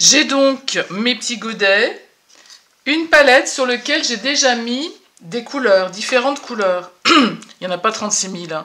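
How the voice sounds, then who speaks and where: The woman's pitch is high, with lively intonation. She talks at a fairly slow pace. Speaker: watercolour painting teacher. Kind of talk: tutorial. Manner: hesitant, many fillers.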